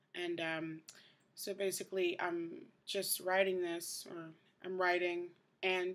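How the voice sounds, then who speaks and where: Very slowly, the speaker talks in a monotone, flat intonation. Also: woman. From New York City, the Bronx. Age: 20s. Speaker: vlogger. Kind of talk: casual video diary. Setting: indoors at night, host family's house. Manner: hushed, trying to keep quiet. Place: home room. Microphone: webcam.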